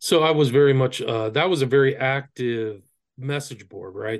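Over a quiet background, a man with an American accent, an unremarkable speaking voice and medium pitch speaks at a fairly quick pace with ordinary pitch variation. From Northern California. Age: 50s. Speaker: author and occult researcher. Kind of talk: interview. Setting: video call.

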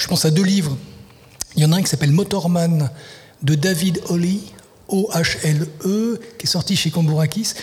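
Noticeable background noise sits behind a man speaking at a fairly slow pace, his pitch high with ordinary variation. He leaves long, frequent pauses. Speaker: literary translator and writer. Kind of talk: radio interview. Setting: live broadcast at a festival venue. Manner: halting, many repetitions.

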